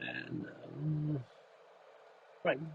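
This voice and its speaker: A man speaks in a soft-spoken way. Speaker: live streamer. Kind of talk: casual chat. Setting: in a car.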